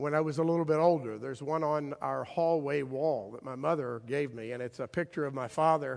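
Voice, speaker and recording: Fairly high in pitch, a man speaks at a fairly quick pace. His pitch variation is ordinary. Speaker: pastor. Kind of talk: sermon; nostalgic personal reminiscence within a sermon, warm storytelling. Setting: church. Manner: conversational with halting repeats, fond chuckle.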